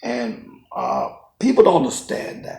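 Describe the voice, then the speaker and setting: There is audible room echo around a man's voice. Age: 60s. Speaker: businessman. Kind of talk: interview.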